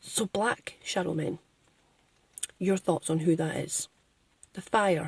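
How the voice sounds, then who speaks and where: The recording is dry and close, with no echo at all. The speech is very slow, broken by long and frequent pauses, with fairly even intonation. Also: woman, fairly low pitch for a woman. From Scotland. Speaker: spiritual vlogger. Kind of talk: casual vlog monologue. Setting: in a car, driving.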